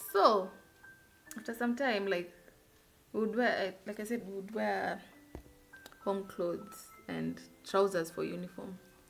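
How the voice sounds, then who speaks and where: With music in the background, a woman with a Kenyan accent speaks at a fairly slow pace. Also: long, frequent pauses. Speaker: beauty vlogger. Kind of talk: casual storytime vlog.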